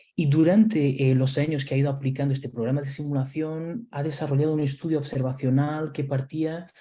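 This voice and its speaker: Somewhat breathy, a man speaks with a dark, mellow tone and a fairly high pitch. His intonation is fairly even, and his pace is moderate. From Portugal/Spain mixed upbringing. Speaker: nurse and simulation instructor. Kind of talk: webinar lecture. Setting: online webinar. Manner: hesitant, many fillers and repetitions.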